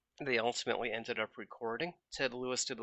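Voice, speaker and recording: A man speaks at a fairly quick pace in a normal speaking voice, his pitch medium. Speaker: internet radio host. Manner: relaxed, friendly, folksy and playful with a jokey, conversational tone.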